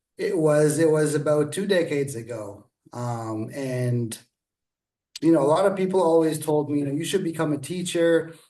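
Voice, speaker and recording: Audible room echo surrounds a man whose fairly high voice carries a dark, mellow tone. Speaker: author and teacher. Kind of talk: interview. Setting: video call. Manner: halting.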